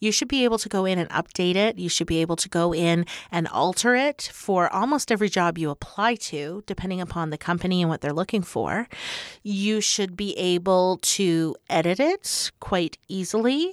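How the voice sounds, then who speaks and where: A woman with a normal speaking voice talks at medium pitch and a moderate pace, with ordinary pitch variation and a dry, close sound with no echo on a very clean recording with a silent background. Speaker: recruiter and coach. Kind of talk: casual interview chat.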